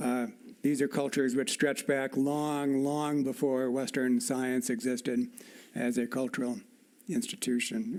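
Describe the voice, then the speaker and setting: With an American accent, a man talks in a normal speaking voice at medium pitch and a moderate pace. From US. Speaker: evolutionary scientist. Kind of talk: formal dialogue.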